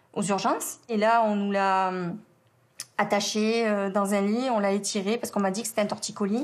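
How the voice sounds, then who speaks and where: Fairly even intonation accompanies delivery at a moderate pace. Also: woman, medium pitch for a woman. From southern France, around the Étang de Berre. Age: 40s. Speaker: bereaved mother. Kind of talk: testimony. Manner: halting, many hesitations.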